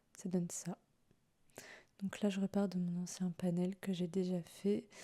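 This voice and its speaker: Soft-spoken and somewhat breathy, a woman talks very slowly at a medium pitch with a dark, mellow tone and flat, monotone intonation, the sound dry and close with no echo. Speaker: webtoon artist. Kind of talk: soft-spoken ASMR drawing tutorial.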